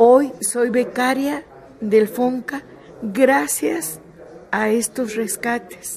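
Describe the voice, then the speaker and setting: Amid noticeable background noise, a woman speaks very slowly at a high pitch. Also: ordinary pitch variation. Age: 70s. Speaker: theatre director. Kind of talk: interview.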